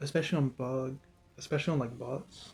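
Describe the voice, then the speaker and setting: Somewhat breathy, a man speaks at a medium pitch with a dark, mellow tone. His pace is moderate. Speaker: gaming commentator. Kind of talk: unscripted rant. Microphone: poor mic quality, first time using a mic.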